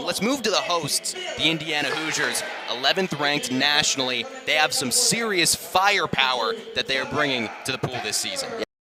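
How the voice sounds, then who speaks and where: Very wide pitch swings mark this fairly quick delivery, with music playing in the background. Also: man, fairly high pitch for a man. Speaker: sports broadcaster. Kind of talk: sports broadcast on-camera intro.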